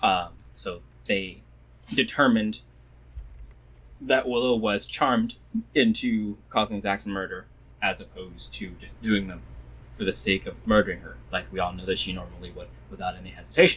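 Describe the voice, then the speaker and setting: Long, frequent pauses and big swings in loudness mark a man talking at a moderate pace. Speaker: game master. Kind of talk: casual chat.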